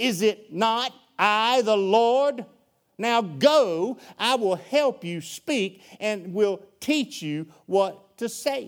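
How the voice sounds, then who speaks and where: With a Southern US accent, a man speaks at a very slow pace and a high pitch on a very clean recording with a silent background. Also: lively intonation. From US South. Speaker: preacher. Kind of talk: sermon. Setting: church. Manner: animated.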